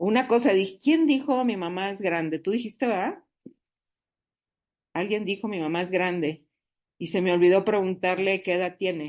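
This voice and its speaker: Against a quiet background, a woman speaks at a moderate pace in a medium pitch, her tone animated with ordinary pitch variation. She leaves long, frequent pauses. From northern Mexico, Monterrey. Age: 60s. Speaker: support group speaker. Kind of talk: recovery group talk.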